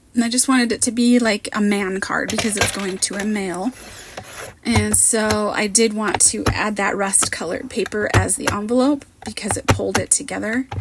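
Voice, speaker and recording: Against noticeable background noise, a woman speaks at a moderate pace in a fairly high pitch with fairly even intonation. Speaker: card maker, crafting content creator. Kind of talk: voiceover tutorial. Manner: casual, chatty.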